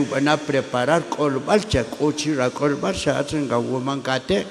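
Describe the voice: A man's voice with vocal fry at a fairly slow pace, faint background noise behind it.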